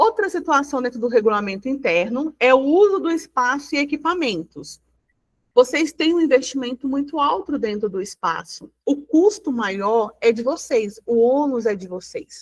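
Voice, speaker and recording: A woman's high voice swings very widely in pitch as she talks at a moderate speed. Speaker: union advisor presenting to beauty business owners. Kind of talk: online workshop presentation.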